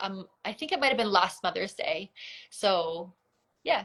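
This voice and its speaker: A woman with a Canadian accent talks at a fairly slow pace in a plain, everyday voice, her medium pitch shaped by lively intonation. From Canada. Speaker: photographer. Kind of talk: interview.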